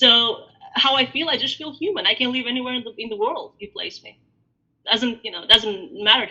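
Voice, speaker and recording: A woman with an Albanian accent speaks at a high pitch with lively intonation and big swings in loudness. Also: fairly quick pace. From Greece, born in Albania. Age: 40s. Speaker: diaspora interviewee. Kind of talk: interview. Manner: hesitant, many fillers.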